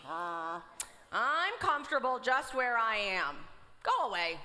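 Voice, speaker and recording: A female-sounding put-on character voice, high in pitch with very wide pitch swings, goes at a fairly slow pace over light background noise. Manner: drowsy, grumpy.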